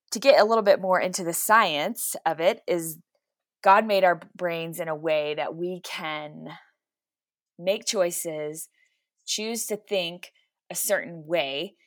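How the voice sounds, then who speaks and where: A woman with an American accent speaks in a plain, everyday voice, fairly low in pitch, at a fairly slow pace with ordinary pitch variation. Her loudness swings widely, and the recording is very clean with a silent background. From Texas. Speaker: mental health therapist. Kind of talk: faith-based interview conversation.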